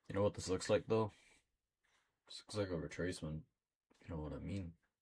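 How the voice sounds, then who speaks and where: Somewhat breathy, a man talks at a fairly quick pace in a very deep, low pitch. His pitch varies in an ordinary way. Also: long, frequent pauses, big swings in loudness. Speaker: trading streamer. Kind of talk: live trading commentary. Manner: casual, halting with fillers.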